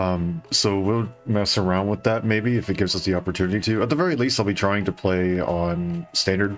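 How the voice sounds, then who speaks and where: Music plays in the background as a man talks at a fairly quick pace with hardly any pauses. His fairly low pitch shows ordinary variation, and his loudness stays very even. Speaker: vtuber streamer. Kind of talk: casual game stream chat. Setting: live stream. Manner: halting, many fillers.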